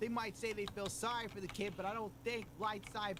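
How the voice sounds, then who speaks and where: The speaker talks at a moderate pace with a New York accent. There is noticeable background noise. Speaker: commentary YouTuber. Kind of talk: commentary video.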